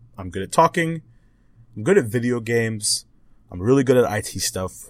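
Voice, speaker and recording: Recorded very cleanly against a silent background, this man talks at a moderate pace. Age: 20s. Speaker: podcast host. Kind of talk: casual solo monologue. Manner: animated.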